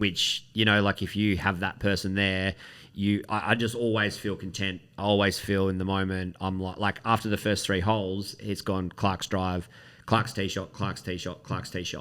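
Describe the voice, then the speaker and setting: A man with an Australian accent, fairly low pitch and monotone, flat intonation, on a very clean recording with a silent background. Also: moderate pace. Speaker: golf talk show co-host. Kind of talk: casual chat. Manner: loud.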